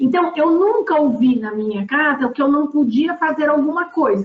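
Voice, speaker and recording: Her voice is high-pitched for a woman. The pitch swings very widely. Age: 60s. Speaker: board member. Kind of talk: panel discussion. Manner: halting.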